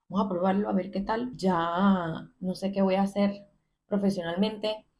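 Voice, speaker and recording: A woman speaks in a somewhat breathy voice. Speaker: content creator sharing personal story. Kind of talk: personal testimony monologue. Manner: conversational, with hesitations.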